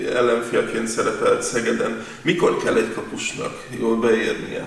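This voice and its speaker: Audible room echo surrounds the speech of a man. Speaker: sports interviewer. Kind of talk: sports interview.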